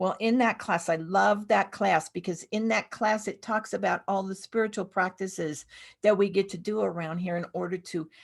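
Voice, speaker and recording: A woman speaks in an ordinary speaking voice at a moderate pace and medium pitch, with ordinary pitch variation, on a very clean recording with a silent background. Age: 60s. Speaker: minister. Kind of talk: sermon.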